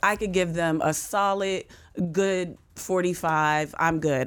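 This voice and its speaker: A woman speaks in a plain, everyday voice, fairly low in pitch, with an American accent. The recording is very clean with a silent background. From US, western Pennsylvania (near Pittsburgh). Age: middle-aged. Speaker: stand-up comedian and sports radio host. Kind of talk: casual chat.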